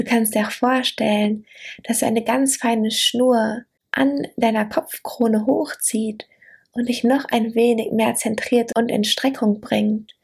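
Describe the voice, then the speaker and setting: The tone is soothing and gentle. The pace is very slow, and the intonation fairly even. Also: woman, fairly high pitch for a woman. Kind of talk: guided meditation. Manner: slow, soothing, gentle; warm, intimate, dreamy.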